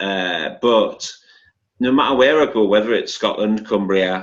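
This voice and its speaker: A man with a northeast English accent talks very slowly. His voice is fairly low, with fairly even intonation. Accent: northeast England (Geordie). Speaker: academic and activist. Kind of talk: panel discussion.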